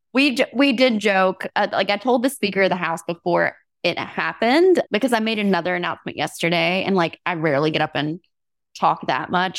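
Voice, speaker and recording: A woman speaks in a plain, everyday voice with lively intonation. The recording is very clean with a silent background, and the sound is dry and close with no echo. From US South (Alabama). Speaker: state legislator and occupational therapist. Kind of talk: podcast interview.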